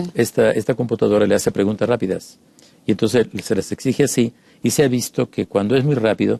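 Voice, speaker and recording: A very fast delivery with a dark, mellow tone and vocal fry, fairly even intonation, very even loudness, and a dry, close sound with no echo. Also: man, medium pitch for a man. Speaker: psychoanalyst. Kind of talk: casual chat.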